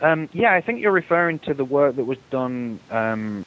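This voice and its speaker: A man with an English accent at a fairly slow pace, his intonation lively, amid noticeable background noise. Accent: English accent, audible. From England. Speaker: aviation association executive. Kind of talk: interview.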